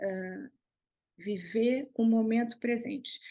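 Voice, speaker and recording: Speaking with a São Paulo accent, a woman has a fairly high, somewhat breathy voice. Her pitch variation is ordinary, and the background is quiet. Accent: Brazilian Portuguese (São Paulo). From Brazil, São Paulo state. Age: 60s. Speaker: visual artist. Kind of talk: interview conversation.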